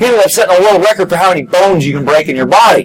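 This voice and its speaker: A man with a high voice speaks against noticeable background noise. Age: 40s. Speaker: motocross chaplain. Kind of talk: sermon.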